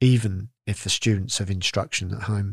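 On a very clean, dry, close recording with no echo and a silent background, a man speaks at a fairly slow pace with fairly even intonation and a somewhat breathy voice. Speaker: podcast presenter. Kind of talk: scripted news reading. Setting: studio. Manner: formal, clear.

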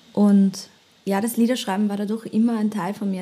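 At a fairly quick pace, a woman with a medium pitch speaks in a somewhat breathy voice and a monotone, flat intonation. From German-speaking, bilingual with American father. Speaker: singer-songwriter. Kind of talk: casual chat.

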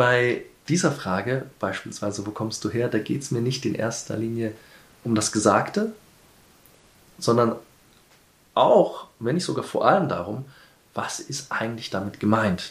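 At a fairly slow pace with long, frequent pauses, a man speaks at medium pitch with ordinary pitch variation. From Kenya (Nairobi). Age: 40s. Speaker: interviewee. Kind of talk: interview.

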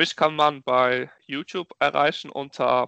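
The man's voice sits at a fairly high pitch. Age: 20s. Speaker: entrepreneur and network founder. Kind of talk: interview.

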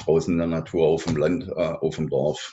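This man has a very deep, low pitch and fairly even intonation. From southern Germany. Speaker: outdoor education trainer. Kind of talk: interview.

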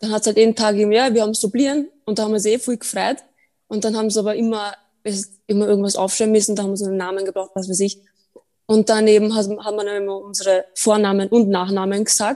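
Very fast, monotone female speech at a fairly high pitch, dark and mellow in tone. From Austria, Burgenland. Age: 20s. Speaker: podcast guest. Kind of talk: casual chat.

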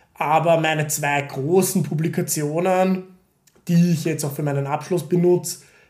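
A man with a fairly high pitch and ordinary pitch variation is heard with audible room echo. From Austria, Vienna. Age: 30s. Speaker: PhD student in chemistry. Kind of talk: casual chat. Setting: at home at dining table.

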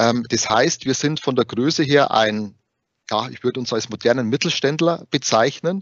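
A man talks at a moderate pace and medium pitch with ordinary pitch variation. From Bavaria. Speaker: HR recruiter at tax assistance association. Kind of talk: interview.

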